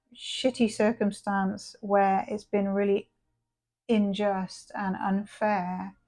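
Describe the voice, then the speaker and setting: This woman's voice has a dark, mellow tone. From England. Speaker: tarot reader. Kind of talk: tarot reading. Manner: casual, chatty with hesitations.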